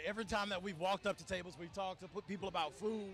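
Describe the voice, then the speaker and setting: Noticeable background noise sits behind a man speaking at a very fast pace. His pitch is high for a man, and his intonation stays fairly even. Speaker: TV news reporter. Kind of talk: live field report. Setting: outdoors.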